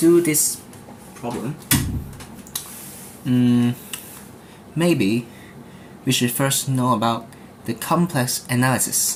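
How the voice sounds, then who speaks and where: The speech moves at a very slow pace, broken by long, frequent pauses. Noticeable background noise runs beneath it. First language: not English. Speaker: math tutor. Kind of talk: tutorial. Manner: halting.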